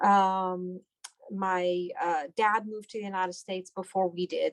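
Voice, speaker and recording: A woman with a Persian accent speaks at a fairly low pitch in a dry, close sound with no echo. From Iran, then Houston, Texas from age ten. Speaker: doctor. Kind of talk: interview.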